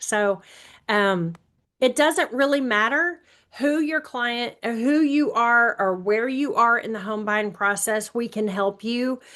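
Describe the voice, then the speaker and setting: Bright, sharp female voice with an American accent, fairly high in pitch, very slow, with ordinary pitch variation. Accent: Alabama accent with some Texas. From Alabama. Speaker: real estate agent. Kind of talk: webinar presentation.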